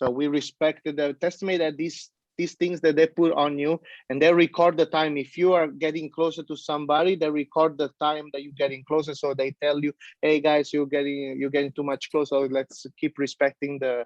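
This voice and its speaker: A man speaks in an Italian accent at a fairly high pitch. The sound is dry and close, with no echo. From Italy. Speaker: pizza chef. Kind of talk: interview. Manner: halting, many fillers; animated.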